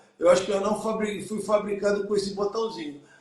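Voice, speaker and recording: A high-pitched man at a fairly quick pace. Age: 60s. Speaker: business consultant. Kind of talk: live stream business discussion. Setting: live stream.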